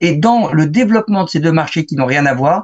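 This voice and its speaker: Here a man speaks in a plain, everyday voice. His pitch is fairly high and his intonation lively. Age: 60s. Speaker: photographer and author. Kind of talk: interview.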